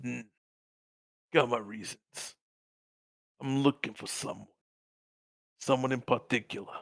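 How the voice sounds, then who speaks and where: A man puts on a raspy character voice at a medium pitch, speaking at a moderate pace. His intonation stays fairly even, broken by long, frequent pauses. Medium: actual play. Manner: rough, crude.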